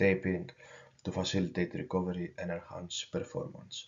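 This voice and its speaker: Speaking at a moderate pace, a man with a Greek accent has a very deep, low pitch. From Greece. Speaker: university student. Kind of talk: student presentation. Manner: halting.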